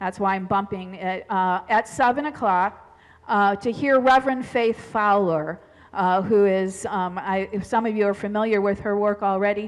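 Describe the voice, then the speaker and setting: Against a quiet background, a woman speaks at a fairly slow pace with fairly even intonation. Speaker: pastor. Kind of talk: church announcements. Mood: friendly, informal. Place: church. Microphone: headset.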